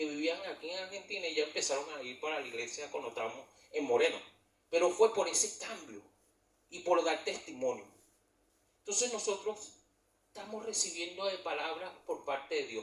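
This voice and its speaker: With a high pitch, a man speaks at a moderate pace using lively intonation. He leaves long, frequent pauses. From Venezuela. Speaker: church leader. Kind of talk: testimony.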